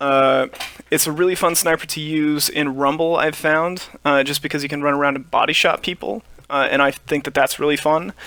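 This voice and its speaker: Talking at a fairly quick pace, a man with a fairly high pitch has a bright, sharp tone and fairly even intonation. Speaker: gaming video creator. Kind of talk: gameplay commentary. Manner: relaxed, many filler uhs.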